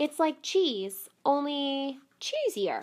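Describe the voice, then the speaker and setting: This put-on character voice has lively intonation. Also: woman, high pitch for a woman. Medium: read story. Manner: brisk, pushy.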